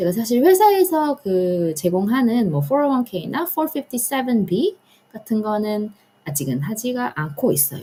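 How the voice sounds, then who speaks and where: Her fairly high voice swings very widely in pitch, somewhat breathy and dark and mellow in tone, as this woman talks at a moderate pace. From Korea, raised partly in US (1.5 generation). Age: 30s. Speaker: personal finance vlogger, government employee. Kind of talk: personal finance talk to camera. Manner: casual, with fillers and hesitations.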